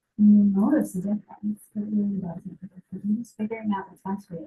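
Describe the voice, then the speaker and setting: With an American accent, a woman speaks at a fairly quick pace in a dark, mellow, somewhat breathy voice of medium pitch, her intonation flat and monotone. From Massachusetts, South Shore near Boston. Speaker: healthcare practitioner. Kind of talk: lecture. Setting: medical office with audience. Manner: fast.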